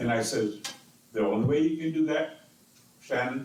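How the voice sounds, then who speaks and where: With noticeable background noise and audible room echo, a man speaks fairly slowly. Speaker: city council member. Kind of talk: council meeting debate. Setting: council chamber with microphones. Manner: slow and loud.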